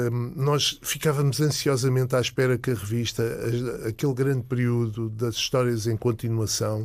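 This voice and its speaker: This man talks at a moderate pace in a medium pitch, his loudness very even, his intonation fairly even, and he hardly pauses at all. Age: 60s. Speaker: comics expert and collector. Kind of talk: casual chat. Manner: halting, many fillers.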